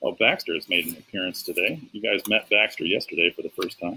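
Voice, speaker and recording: A man speaks at a fairly quick pace. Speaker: teacher. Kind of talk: tutorial. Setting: outdoors. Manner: fast.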